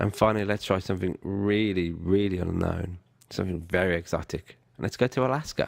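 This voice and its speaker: The man's voice is very deep and low, with ordinary pitch variation at a fairly quick pace. The recording is very clean, with a silent background. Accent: British. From Britain. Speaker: online course instructor. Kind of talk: tutorial.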